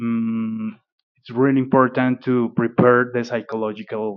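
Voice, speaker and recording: A man speaks in a Spanish accent at a medium pitch. His delivery is fairly slow, with monotone, flat intonation. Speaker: airline pilot. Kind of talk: interview. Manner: halting, many fillers.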